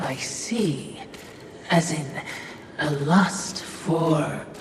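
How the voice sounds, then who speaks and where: A put-on character voice at a middle pitch, with strong echo and clear background noise. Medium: machinima. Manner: dry, deferential.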